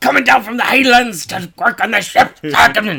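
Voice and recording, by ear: In a put-on character voice with a Scottish accent, the speaker talks at a moderate pace and a fairly high pitch.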